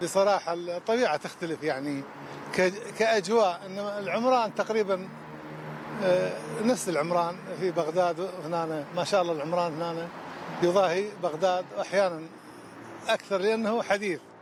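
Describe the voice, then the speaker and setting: In a Baghdad accent, a man talks at a moderate pace in a high voice with ordinary pitch variation. He leaves long, frequent pauses, and background noise is noticeable. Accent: Baghdadi Iraqi Arabic. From Iraq, Baghdad. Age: 60s. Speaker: street cleaner. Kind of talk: street interview. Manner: halting.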